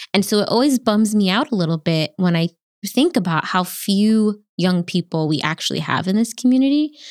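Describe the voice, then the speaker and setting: A woman with an ordinary speaking voice talks at a medium pitch and moderate pace, her intonation lively and her loudness very even, in a very clean, dry, close recording with no echo and a silent background. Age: 30s. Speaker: podcast host. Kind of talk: casual chat.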